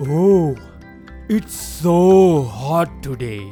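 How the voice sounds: A put-on character voice at a low-to-middle pitch over clear music in the background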